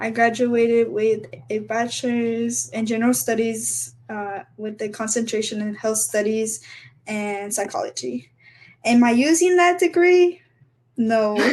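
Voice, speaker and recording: An unremarkable speaking voice from a woman, fairly high in pitch, at a fairly slow pace with lively intonation. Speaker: sorority member, recent graduate. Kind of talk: casual chat.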